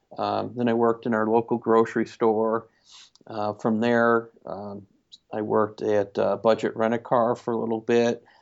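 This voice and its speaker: A man with an American accent and an unremarkable speaking voice talks at a moderate pace and a medium pitch. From upstate New York, Syracuse area. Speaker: family physician. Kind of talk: interview.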